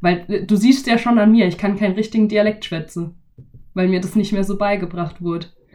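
With a Baden accent, a woman talks at a fairly quick pace in a medium pitch and fairly even intonation. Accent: Badisch-tinged German. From Baden, Germany. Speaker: podcast host. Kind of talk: casual chat.

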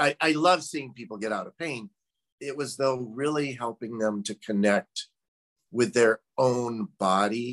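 In a normal speaking voice, a man with an American accent talks at a fairly slow pace and medium pitch, the sound dry and close with no echo. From US Midwest. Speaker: former doctor, meditation practitioner. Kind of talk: casual conversation interview. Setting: video call.

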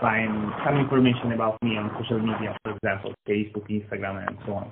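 A man with an Italian accent. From Italy, Lucca, Tuscany. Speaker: marketing agency founder. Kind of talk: interview. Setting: phone call. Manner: halting.

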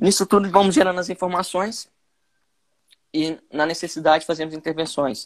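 A man with a high voice and ordinary pitch variation speaks at a moderate pace, leaving long, frequent pauses, in a very clean recording with a silent background. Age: 20s. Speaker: sports physiologist. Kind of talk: casual interview.

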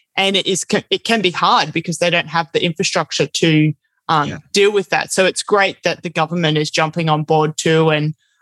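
Speaking with an Australian accent, a woman talks at a fairly quick pace in a fairly low pitch, her intonation fairly even. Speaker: podcast host, eco traveler. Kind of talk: casual interview. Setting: remote call.

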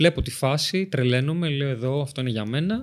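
Using ordinary pitch variation, a man speaks at a fairly slow pace. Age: 20s. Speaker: Paralympic athlete and personal trainer. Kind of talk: interview.

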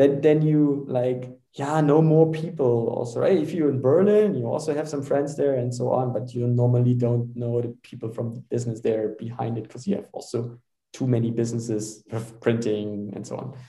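With a German accent, a man speaks at a medium pitch and a moderate pace, with ordinary pitch variation. His voice is somewhat breathy, with a dark, mellow tone. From Germany. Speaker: startup founder and CEO. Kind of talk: casual interview. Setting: video call.

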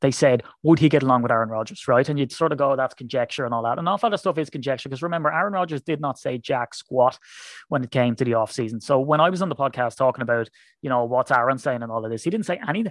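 Very fast speech with an Irish accent, dry and close with no echo, over a quiet background. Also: man, medium pitch for a man, ordinary pitch variation. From Ireland. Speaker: football fan podcaster. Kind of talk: casual chat.

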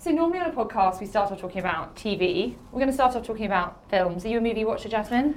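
A woman with a southern English accent, fairly high-pitched and very fast, lively intonation over noticeable background noise. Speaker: podcast host. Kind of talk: casual chat.

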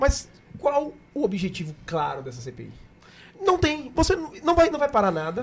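Speaking at a fairly slow pace with long, frequent pauses, a man uses extremely high pitch, very wide pitch swings and big swings in loudness. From Camaçari, Bahia, Brazil. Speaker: businessman and podcast co-host. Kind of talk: casual chat.

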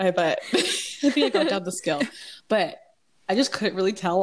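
A woman has an unremarkable speaking voice, medium in pitch, with ordinary pitch variation. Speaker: podcast co-host. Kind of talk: casual chat.

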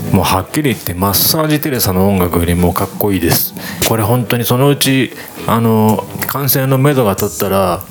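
Lively intonation marks this man's fairly low-pitched voice at a moderate pace. Noticeable background noise is present. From Shizuoka, Japan. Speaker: radio DJ and musician. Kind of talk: radio show hosting.

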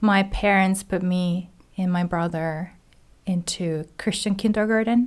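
A Japanese accent at a fairly slow pace, with fairly even intonation, on a very clean recording with a silent background. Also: woman, medium pitch for a woman. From Japan, Hiroshima. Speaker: graduate theology student. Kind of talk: casual chat.

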